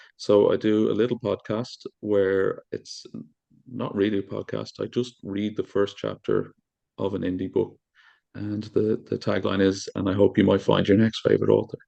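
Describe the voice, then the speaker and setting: Speaking at a moderate speed, a man talks with an Irish accent. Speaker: podcast host reading book chapters.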